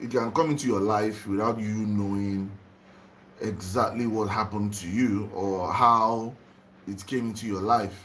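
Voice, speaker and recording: A man with a Nigerian accent speaks fairly slowly at a fairly low pitch, with fairly even intonation. Room echo is audible. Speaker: spiritual livestreamer. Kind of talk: live stream talk to viewers. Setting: home livestream, just woke up.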